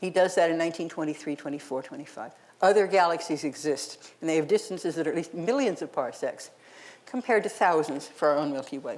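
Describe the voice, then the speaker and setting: A woman speaks very fast with an American accent and a fairly low pitch. Her intonation is lively. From United States. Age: 70s. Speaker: astronomy professor. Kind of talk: public lecture.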